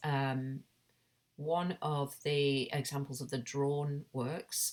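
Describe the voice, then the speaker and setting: A woman with a British accent speaks at a very slow pace and a very deep, low pitch. The recording is very clean, with a silent background. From Britain. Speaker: artist and academic. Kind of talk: recorded conference presentation. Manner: halting, many fillers.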